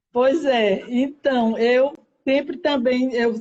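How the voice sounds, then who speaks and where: A woman speaks at a high pitch. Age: 60s. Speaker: weight-loss content creator. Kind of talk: casual interview chat. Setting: live video stream.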